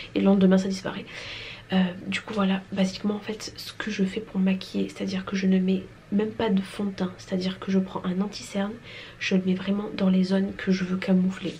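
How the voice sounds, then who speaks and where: Over noticeable background noise, a woman speaks fairly quickly at a medium pitch in a monotone, flat intonation. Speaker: vlogger, mother of two boys. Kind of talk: casual vlog talk. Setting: indoors at home filming space. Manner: casual, with many fillers; whispering.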